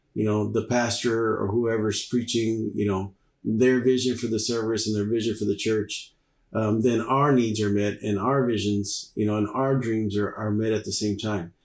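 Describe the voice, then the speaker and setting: At a moderate pace, a man with an American accent speaks in a fairly low pitch with monotone, flat intonation. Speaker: worship leader and church musician. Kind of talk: interview conversation. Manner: sounds like he's mad, intense; hesitant with many fillers.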